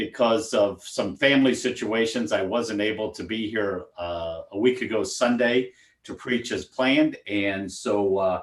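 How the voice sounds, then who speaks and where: Speaking at a medium pitch, a man has an unremarkable speaking voice with ordinary pitch variation, a fairly slow pace and hardly any pauses. The recording is very clean, with a silent background. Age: 60s. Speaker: deacon. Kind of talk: casual chat.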